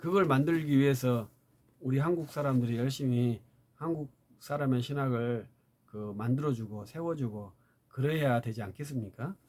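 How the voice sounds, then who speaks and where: This man has an ordinary speaking voice, medium in pitch, moving at a moderate pace with ordinary pitch variation. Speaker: theology lecturer. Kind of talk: lecture.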